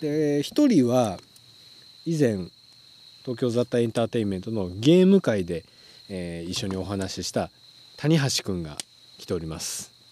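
A man's medium-pitched voice at a moderate pace, with very wide pitch swings, big swings in loudness and long, frequent pauses. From Tokyo. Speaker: streaming host. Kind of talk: casual chat. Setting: outdoors at a campsite.

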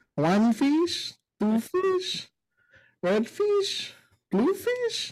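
This put-on character voice is squeaky and extremely high in pitch, delivered at a very slow pace.

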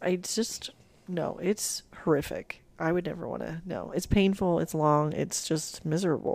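A woman's fairly low voice with vocal fry, fairly even intonation and a fairly slow pace. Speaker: ER nurse. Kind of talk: casual chat. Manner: formal, proper-sounding at the intro.

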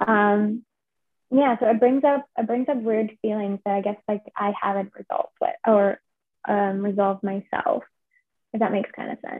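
A woman with a normal speaking voice, fairly high in pitch, with ordinary pitch variation and a moderate pace. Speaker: drama graduate and writer. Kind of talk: interview.

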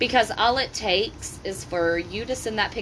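Over noticeable background noise, a woman talks at a fairly quick pace. Her pitch varies in an ordinary way. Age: 30s. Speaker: parent talking with teens. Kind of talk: casual chat.

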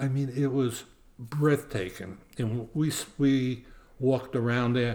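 Man with a medium pitch and a Brooklyn accent. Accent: New York (Brooklyn). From US Northeast (Brooklyn, New York). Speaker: retired world traveler, host's grandfather. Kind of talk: casual interview chat.

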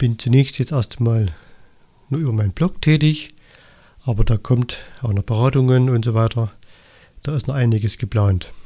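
A man speaks in a dark, mellow, somewhat breathy tone with long, frequent pauses. The recording is very clean, with a silent background. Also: medium pitch for a man, ordinary pitch variation, moderate pace. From Saxony, Erzgebirge (eastern Germany). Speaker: holistic health coach, podcaster. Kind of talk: solo podcast monologue. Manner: somewhat halting, with repetitions and fillers.

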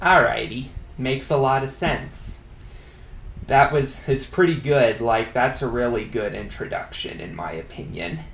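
Over noticeable background noise and audible room echo, a man speaks in a medium pitch with big swings in loudness. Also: ordinary pitch variation, fairly slow pace. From Colorado. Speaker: YouTube interviewer. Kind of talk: casual interview.

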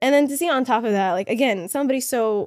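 A woman speaks fairly quickly in a Canadian accent, with ordinary pitch variation. The recording is very clean, with a silent background. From Canada. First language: Somali. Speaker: filmmaker. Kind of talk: casual chat. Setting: studio.

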